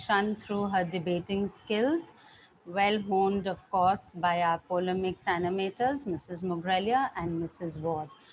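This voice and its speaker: Somewhat breathy woman's voice at a medium pitch and a fairly slow pace. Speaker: school principal. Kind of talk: prize-giving speech.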